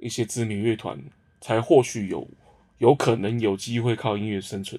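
A man speaks at a moderate pace in a normal speaking voice, his pitch sitting in the medium range. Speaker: band lead singer. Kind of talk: casual chat. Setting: music studio.

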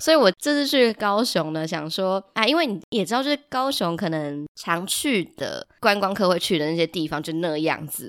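Recorded very cleanly with a silent background and a dry, close sound with no echo, a woman uses very wide pitch swings with hardly any pauses. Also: moderate pace. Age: young. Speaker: podcast host, teacher. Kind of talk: casual solo chat.

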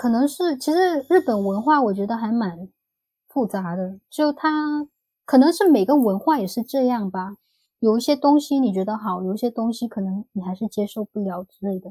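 A woman speaks at a moderate pace with a fairly high pitch, a dark, mellow tone and lively intonation. The recording is very clean and dry, close with no echo, over a silent background. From Vietnam (ethnic Chinese). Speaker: former working holiday traveller. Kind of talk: casual interview chat.

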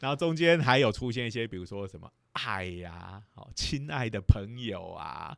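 A man talks with hardly any pauses. His pitch swings very widely, and his loudness changes a great deal. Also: medium pitch for a man, moderate pace, very clean recording, silent background. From Taiwan, Lukang (Changhua). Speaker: physics professor, podcast host. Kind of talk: lecture; casual chat.

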